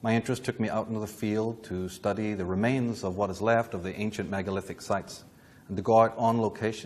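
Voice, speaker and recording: A man with a Northern Irish accent talks fairly quickly in a fairly low pitch, his intonation monotone and flat. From Northern Ireland, Belfast. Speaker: lecturer on esoteric history. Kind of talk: lecture. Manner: formal.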